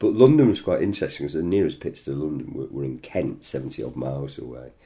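A man talks in a northern English accent. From northern England. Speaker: interviewee, former miners' strike supporter. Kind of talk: interview conversation. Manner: repeats words, halting at times.

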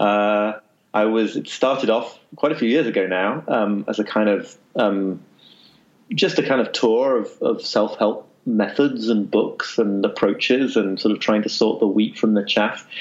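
A man with a northern English accent, at a fairly slow pace and very even loudness. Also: medium pitch for a man, ordinary pitch variation. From northern England. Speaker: author and journalist. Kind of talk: interview. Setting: remote call.

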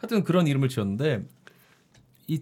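A man's dark, mellow tone comes through somewhat breathy, with lively intonation. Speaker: podcast producer and novelist. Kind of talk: casual chat.

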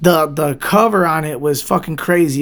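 In a Detroit accent, the speaker sounds animated, with ordinary pitch variation. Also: man. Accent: Detroit American English. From Southwest Detroit, Michigan. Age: 30s. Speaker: DJ and record label owner. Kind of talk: casual interview.

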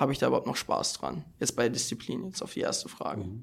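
A fairly quick male speaker, captured very cleanly against total silence. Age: young. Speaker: judo athlete. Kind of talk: casual chat. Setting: seminar room with live audience. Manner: halting.

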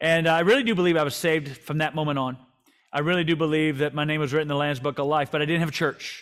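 Speaking very fast, a man uses a fairly high pitch and fairly even intonation. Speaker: pastor and author. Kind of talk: interview conversation, book talk. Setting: live webinar, online.

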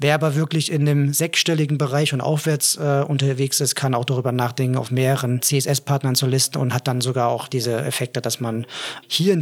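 Pitched fairly high, a man's voice carries ordinary pitch variation. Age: 30s. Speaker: head of product at marketing agency. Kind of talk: casual business chat. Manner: hesitant with frequent filler sounds.

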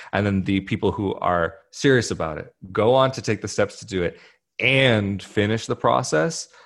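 In an unremarkable speaking voice, a man with a fairly low pitch talks at a moderate pace with lively intonation. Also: quiet background. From US West Coast, Italian-American and Brazilian family. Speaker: YouTuber. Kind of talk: casual interview. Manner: casual with many fillers.

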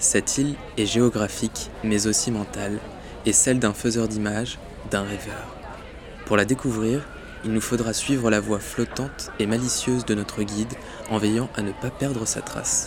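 Crowd noise and audible room echo fill the background. A man at a medium pitch talks at a moderate pace in a monotone, flat intonation. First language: French. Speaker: podcast host. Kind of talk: scripted narration.

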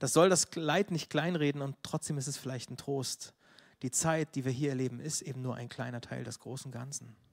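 Heard dry and close with no echo, a man with an unremarkable speaking voice talks at a moderate pace, fairly high in pitch, with fairly even intonation. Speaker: preacher. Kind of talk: sermon.

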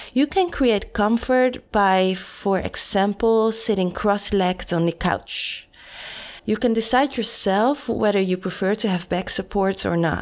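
In an unremarkable speaking voice, a woman talks at a fairly slow pace and medium pitch, with ordinary pitch variation and very even loudness. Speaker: podcast host. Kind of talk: scripted narration.

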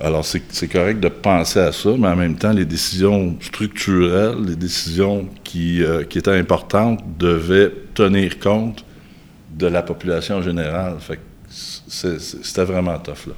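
Here a man speaks in a very deep, low voice. His pace is fairly slow and his intonation fairly even. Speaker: surgeon. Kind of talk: casual interview.

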